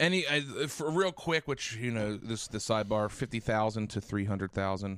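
A man talks in an unremarkable speaking voice at a medium pitch. His pace is moderate and his intonation lively. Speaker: podcast host. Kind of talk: casual chat. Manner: joking banter.

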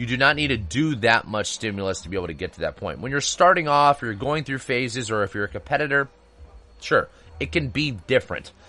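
A man speaks quickly at a medium pitch, his bright, sharp tone carrying vocal fry and lively intonation. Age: 30s. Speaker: health and fitness podcast host. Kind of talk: solo podcast monologue. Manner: casual, conversational with fillers.

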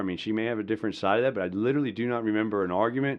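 A man with a Southern US accent and ordinary pitch variation. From US South, rural Georgia (Madison County). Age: 40s. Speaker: pastor and military veteran. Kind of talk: personal testimony and preaching-style talk.

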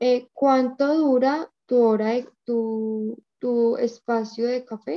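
Speaking very slowly in a Spanish accent, a woman has a high pitch and fairly even intonation. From Colombia. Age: 20s. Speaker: language student. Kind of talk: language lesson practice. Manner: halting.

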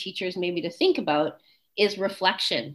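With a Canadian accent, a woman in an ordinary speaking voice talks at a moderate pace and medium pitch with lively intonation. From Canada, Winnipeg, Manitoba. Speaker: professor of sport psychology. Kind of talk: interview.

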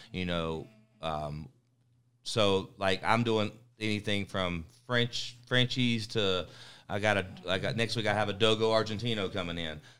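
A man with a North Carolina accent speaks at a fairly slow pace, with a fairly low pitch and ordinary pitch variation. His tone is bright and sharp, in a very clean recording with a silent background. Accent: Southern US, North Carolina. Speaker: dog trainer.

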